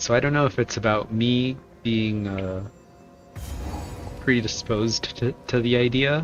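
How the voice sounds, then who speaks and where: Music plays in the background as a man talks at medium pitch. His pace is fairly slow, with ordinary pitch variation. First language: Spanish. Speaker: video game streamer. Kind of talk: casual chat while gaming. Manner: halting.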